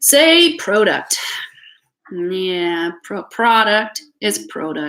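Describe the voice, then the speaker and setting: Speaking very slowly with a Canadian accent, a woman uses a bright, sharp tone and very wide pitch swings. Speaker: tarot reader. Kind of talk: live tarot reading stream. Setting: live stream from home. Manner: hesitant with many fillers.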